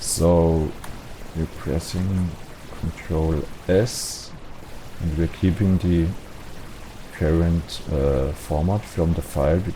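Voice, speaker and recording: A man's very deep, low voice with a non-native accent, very slow with long, frequent pauses and fairly even intonation, over noticeable background noise. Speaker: game modding tutorial creator. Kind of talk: tutorial. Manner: hesitant, many fillers.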